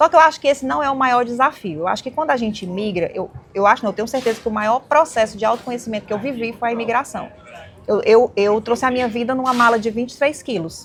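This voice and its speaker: The speech comes at a very fast pace with ordinary pitch variation over noticeable background noise. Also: woman, fairly high pitch for a woman. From Brazil, Ceará (Fortaleza). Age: 40s. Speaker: women's mentor and entrepreneur. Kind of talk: podcast interview.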